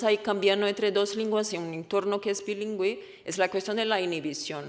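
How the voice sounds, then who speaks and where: Speaking at a moderate pace with a Portuguese accent, a woman uses a medium pitch and fairly even intonation. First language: Portuguese (speaking Spanish). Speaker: researcher. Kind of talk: conference talk.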